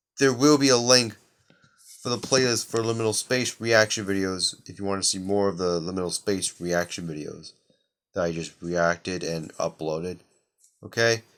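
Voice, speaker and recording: Speaking quietly at a moderate pace, a man with a fairly low pitch uses ordinary pitch variation on a very clean recording with a silent background. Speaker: gaming youtuber. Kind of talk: video reaction commentary.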